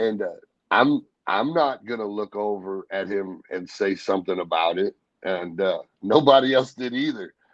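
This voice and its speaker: A man speaks with an American accent in an unremarkable speaking voice. His pitch sits fairly low, with ordinary variation, at a moderate pace. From Missouri. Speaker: professional wrestler. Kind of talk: interview answer, casual storytelling. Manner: relaxed, conversational.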